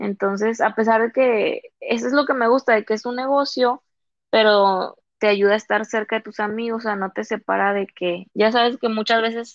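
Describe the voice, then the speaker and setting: A woman's fairly high voice at a moderate pace, in a Comarca Lagunera accent. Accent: Laguna sing-song Mexican Spanish. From Lerdo, Durango (Comarca Lagunera), Mexico. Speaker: podcast guest. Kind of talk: casual chat.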